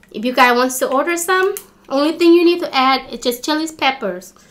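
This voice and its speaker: A woman speaks in a raised, projected voice. Her tone is bright and sharp, with very wide pitch swings. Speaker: food vlogger. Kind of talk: casual vlog chat. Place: home room. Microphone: phone near.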